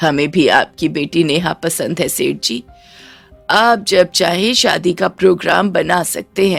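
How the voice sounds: Faint music plays behind a woman doing a put-on character voice at a fairly low pitch with vocal fry. Her pace is fairly slow and her pitch variation ordinary.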